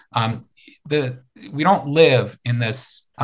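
A man speaks at a medium pitch with a somewhat breathy voice and fairly even intonation. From Ukraine (Kharkiv), later Minneapolis. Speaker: researcher on refugees and migration. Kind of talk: interview. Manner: halting, many fillers and repetitions.

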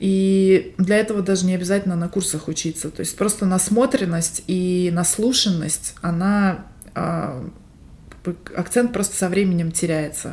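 A woman with an unremarkable speaking voice talks at a fairly slow pace and medium pitch, her intonation fairly even. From Siberia, Russia (Barnaul). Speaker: podcast co-host. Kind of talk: casual chat.

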